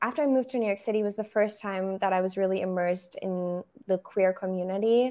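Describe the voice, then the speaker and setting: A woman talks at a very fast pace with a German accent. Her pitch is medium and her intonation fairly even. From Germany, Berlin. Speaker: photographer.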